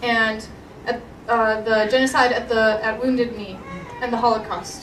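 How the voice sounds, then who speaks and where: A woman talks at a fairly quick pace in a fairly high voice. Crowd noise fills the background, and the room echo is audible. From Alberta, Canada (Edmonton). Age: 20s. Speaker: pro-life activist. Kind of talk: testimony.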